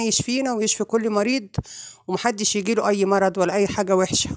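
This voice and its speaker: A woman with an Egyptian accent at medium pitch and a moderate pace, fairly even in intonation, on a very clean recording with a silent background. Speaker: vlogger. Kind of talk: vlog intro.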